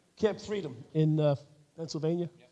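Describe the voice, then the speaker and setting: A fairly high-pitched man with a New York accent and ordinary pitch variation. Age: 60s. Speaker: retired police officer and podcast co-host. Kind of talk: live panel discussion. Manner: halting, many fillers.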